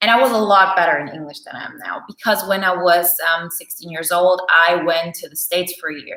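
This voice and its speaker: This woman has a fairly low pitch and a bright, sharp tone. She talks at a moderate pace. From Germany. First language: Bulgarian. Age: 30s. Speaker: personality type coach. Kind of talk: live Q&A. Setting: livestream. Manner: hesitant, many fillers.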